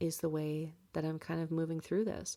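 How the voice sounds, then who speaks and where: A woman speaks in a dark, mellow tone at a fairly low pitch. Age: 20s. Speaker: podcast host. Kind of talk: personal monologue podcast.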